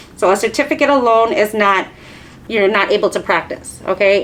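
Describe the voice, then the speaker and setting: Against noticeable background noise, a woman talks with a fairly high pitch and ordinary pitch variation. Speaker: nail technician instructor. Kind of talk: lecture. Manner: fast.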